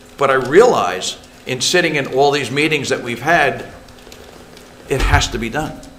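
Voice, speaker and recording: A man's fairly high-pitched voice at a moderate pace, with very wide pitch swings, audible room echo and noticeable background noise. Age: 70s. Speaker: council member. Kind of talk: public meeting statement. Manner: animated.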